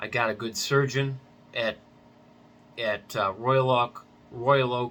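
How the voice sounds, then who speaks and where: A man speaks in a bright, sharp tone. His pace is very slow. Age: 60s. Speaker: patient vlogger. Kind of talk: personal vlog testimony. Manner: casual, hesitant with many fillers.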